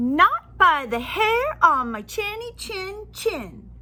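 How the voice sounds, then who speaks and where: A put-on character voice at an extremely high pitch swings very widely in pitch. It moves at a very slow pace over light background noise. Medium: read story. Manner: squealing.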